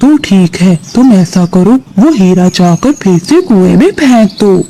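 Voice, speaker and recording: A man puts on a cartoonish character voice pitched high. He talks at a moderate pace. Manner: measured, knowing.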